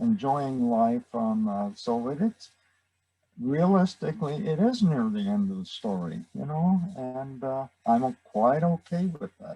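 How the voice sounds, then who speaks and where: Recorded dry and close with no echo, a man speaks fairly slowly in a dark, mellow, medium-pitched voice with very wide pitch swings. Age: 80s+. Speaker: retired congregation member. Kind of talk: sharing circle. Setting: video call. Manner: halting.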